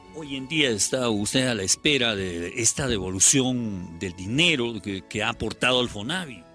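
With faint music in the background, a man talks at a moderate pace with lively intonation and hardly any pauses, the sound dry with no echo. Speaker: reporter. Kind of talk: news field interview. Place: garden.

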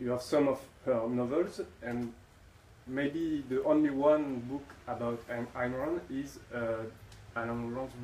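A man talking very slowly with fairly even intonation and long, frequent pauses, over noticeable background noise. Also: medium pitch for a man. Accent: French. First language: French. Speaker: audience member. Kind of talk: audience Q&A question. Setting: stage with audience. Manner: halting.

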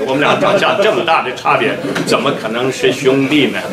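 Against noticeable background noise, a man speaks at a fairly quick pace. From Xinjiang (Uyghur). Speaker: Uyghur activist speaker. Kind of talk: conference speech. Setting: conference stage with audience. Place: office.

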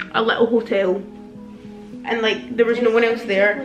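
A woman speaks at a very fast pace. Audible room echo and faint background music accompany her. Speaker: vlogger. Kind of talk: casual vlog chat. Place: home room. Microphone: phone near.

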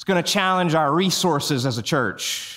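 The voice has an animated, warm tone that is also bright and sharp, with ordinary pitch variation. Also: man, quiet background. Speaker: preacher. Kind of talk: sermon to a live congregation, call-and-response. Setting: church with live audience. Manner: animated, warm, rallying the crowd with playful asides; preacherly cadence, repeating phrases for emphasis. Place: church. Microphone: headset.

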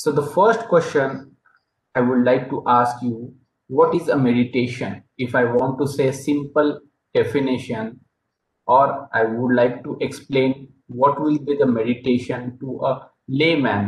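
A man with an Indian accent, somewhat breathy, at a fairly slow pace with fairly even intonation and audible room echo. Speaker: yoga meditation presenter; presenter. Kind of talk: presentation/lecture; lecture. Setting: video call. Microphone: video call.

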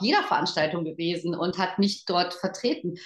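A woman speaks at a fairly slow pace in a somewhat breathy, animated tone, with audible room echo against a quiet background. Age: 50s. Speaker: network marketing team leader; guest, sales leader. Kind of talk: motivational talk. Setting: online event. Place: home room. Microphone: video call.

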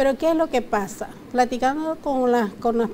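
At a fairly slow pace, a woman speaks with fairly even intonation over light background noise. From Nicaragua. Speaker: consumer rights advisor. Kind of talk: TV interview. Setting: TV studio. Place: studio. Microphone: lapel.

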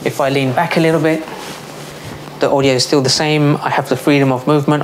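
Over clear background noise, a man with a fairly high pitch talks fast in fairly even intonation.

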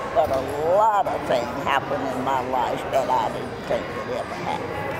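Loud background noise surrounds this recording of a woman with an American accent. She speaks at a fairly slow pace. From United States. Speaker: birthday honoree. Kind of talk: interview answer. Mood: warm, joyful, emotional. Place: hall. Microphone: handheld.

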